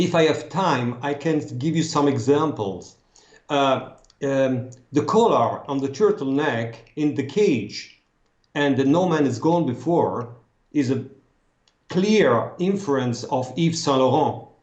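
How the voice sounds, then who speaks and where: Audible room echo surrounds a man speaking at a fairly slow pace with a fairly high pitch and ordinary pitch variation. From France, Strasbourg. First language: French. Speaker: costume consultant. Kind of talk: interview. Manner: halting.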